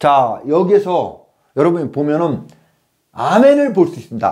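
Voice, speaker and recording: Against a quiet background, a man with a high pitch talks at a moderate pace using very wide pitch swings. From South Korea. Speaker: lecturer. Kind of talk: lecture. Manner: animated. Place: classroom. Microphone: lapel.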